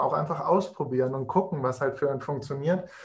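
With fairly even intonation, the speech comes across somewhat breathy. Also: man. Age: 20s. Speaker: nutrition consultant. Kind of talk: casual interview.

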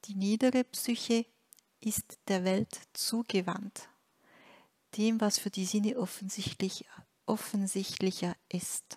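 Long pauses break up the speech often. Overall the pace is very slow. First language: French (speaking German). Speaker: spiritual teacher. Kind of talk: reading aloud a translated spiritual text. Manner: halting, with frequent hesitations.

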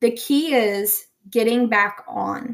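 A woman speaks at a fairly high pitch. Her intonation stays fairly even. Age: 40s. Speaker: faith-based wellness podcaster. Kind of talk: solo podcast talk. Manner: casual with frequent fillers.

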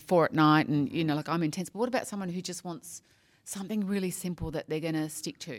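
This woman has an Australian accent and a fairly low pitch. She talks at a fairly quick pace. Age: 50s. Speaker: podcast host. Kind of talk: casual interview. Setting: at a conference.

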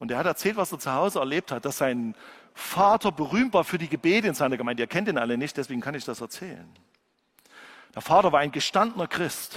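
The speech comes at a very fast pace with lively intonation, recorded with a dry, close sound and no echo. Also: man, fairly high pitch for a man. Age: 50s. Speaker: pastor. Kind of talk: sermon.

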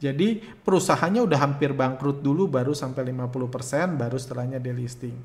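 A somewhat breathy man's voice at medium pitch and moderate pace, with hardly any pauses and audible room echo. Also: ordinary pitch variation. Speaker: stock trading educator. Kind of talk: Q&A answering viewer questions. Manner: hesitant, many fillers.

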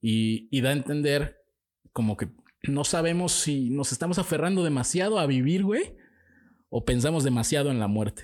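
A man with a Mexican accent speaks at a moderate pace, his pitch fairly high and his intonation lively. Loudness stays very even on a very clean recording with a silent background. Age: 20s. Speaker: podcast co-host. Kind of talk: casual chat.

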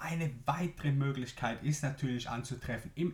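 A man speaks with a Swiss German accent at a fairly slow pace. His voice is somewhat breathy. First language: Swiss German (speaking German). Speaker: business podcast host, marketing coach. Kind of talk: solo podcast explainer.

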